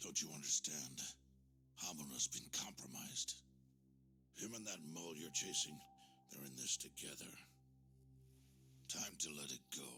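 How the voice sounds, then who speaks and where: A man performs a put-on character voice, pitched very deep and low, at a moderate pace. He leaves long, frequent pauses, and clear background noise can be heard. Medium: video game. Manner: measured, paternal, commanding.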